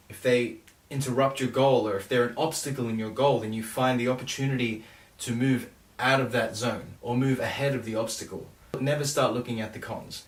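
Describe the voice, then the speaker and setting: In a room with audible echo, a man speaks fairly quickly in a medium pitch, somewhat breathy and with monotone, flat intonation. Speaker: songwriter vlogger. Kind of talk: casual vlog talk about songwriting.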